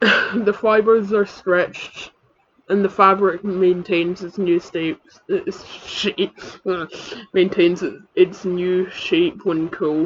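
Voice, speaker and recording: Someone speaks at a very slow pace in a Scottish accent. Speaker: comedic YouTuber. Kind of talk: reading aloud. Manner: halting.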